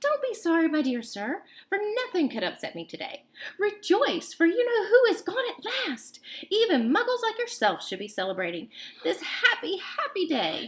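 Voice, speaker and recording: A woman does a put-on character voice that is squeaky and extremely high-pitched, swinging very widely in pitch at a moderate pace. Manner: gleeful, celebratory.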